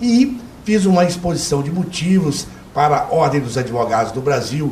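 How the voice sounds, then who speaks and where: A man's high-pitched voice with lively intonation at a moderate pace, amid audible room echo and noticeable background noise. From Minas Gerais, Brazil (Belo Horizonte). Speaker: retired doctor and lawyer, health commission head. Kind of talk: TV interview.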